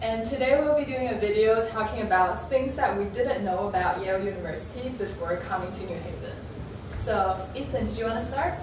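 In a room with audible echo and noticeable background noise, a woman speaks at a fairly high pitch with ordinary pitch variation. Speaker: architecture graduate student and video creator. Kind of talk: casual talk to camera. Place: home room. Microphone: camera far.

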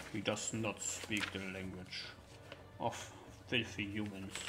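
A man speaks in a put-on character voice at a fairly low pitch and a fairly slow pace. Loud background noise runs behind him. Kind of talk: tabletop roleplay in character. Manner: defiant, broken speech.

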